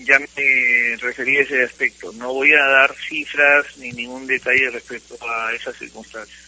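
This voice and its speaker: A man at a fairly slow pace with hardly any pauses, monotone, flat intonation and big swings in loudness, over noticeable background noise. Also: medium pitch for a man. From Peru, Cusco. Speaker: football player agent. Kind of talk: phone interview. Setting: phone call.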